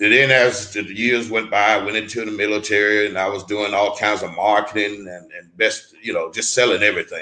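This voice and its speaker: A man with a fairly low pitch speaks in a bright, sharp tone and a flat monotone. His loudness swings widely. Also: fairly quick pace. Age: 60s. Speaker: retired network marketer and mentor. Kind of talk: interview. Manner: halting.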